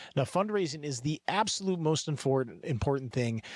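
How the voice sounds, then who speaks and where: Recorded very cleanly against a silent background, an unremarkable speaking voice moves at a fairly quick pace with lively intonation. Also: man. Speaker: professional fundraising auctioneer and podcast host. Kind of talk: podcast monologue. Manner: calm, confident, upbeat.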